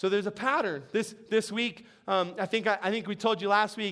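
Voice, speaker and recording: A man talks at a fairly quick pace and high pitch, his tone bright, sharp and animated. The recording is very clean, with a silent background. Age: 40s. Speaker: pastor. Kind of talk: sermon. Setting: church.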